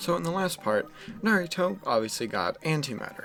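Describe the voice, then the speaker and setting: Speaking at a very fast pace with lively intonation, the voice comes over music playing in the background. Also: man. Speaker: anime what-if storyteller. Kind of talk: casual improvised storytelling. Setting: at home. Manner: hesitant, repetitive fillers.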